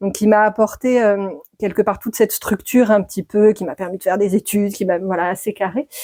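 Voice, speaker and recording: A woman's medium-pitched voice at a fairly quick pace, with fairly even intonation and a dry, close sound with no echo. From France, Dordogne. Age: 40s. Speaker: midwife. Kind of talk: podcast interview. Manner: hesitant, many fillers.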